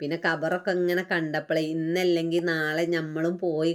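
A woman speaks with a Malappuram accent. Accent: Malappuram Malayalam dialect. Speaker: vlogger. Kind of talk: casual vlog narration.

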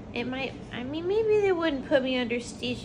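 A woman speaks in a high voice. Background noise is noticeable behind her. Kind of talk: casual rambling chat. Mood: loopy, rambling. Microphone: phone near.

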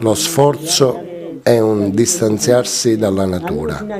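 Very wide pitch swings from a man speaking at a very slow pace over noticeable background noise. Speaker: voice-over actor. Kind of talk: dubbed first-person voice-over of an interviewee. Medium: dub.

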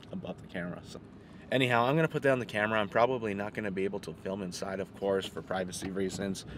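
This man talks at a very fast pace in a fairly low pitch with ordinary pitch variation, the sound dry with no echo and light background noise behind him. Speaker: car vlogger. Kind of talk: casual vlog chat. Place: car. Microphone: phone near.

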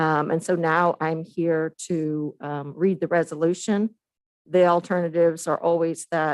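Here a woman speaks at a moderate pace with a fairly low pitch. The sound is dry and close, with no echo. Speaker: county corrections director. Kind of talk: public meeting presentation; reading aloud. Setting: county commission meeting. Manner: halting.

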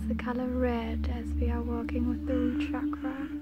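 Loud background noise sits under a dry sound with no echo. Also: woman. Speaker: reiki practitioner / energy healer. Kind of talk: ASMR reiki healing guided meditation. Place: garden. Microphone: phone near.

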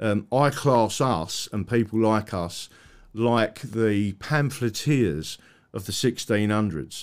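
Against a quiet background, a man with an English accent speaks very slowly at a fairly low pitch. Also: ordinary pitch variation. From England. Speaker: online talk show host. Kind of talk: casual interview. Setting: live stream with remote guest. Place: home room. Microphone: studio mic.

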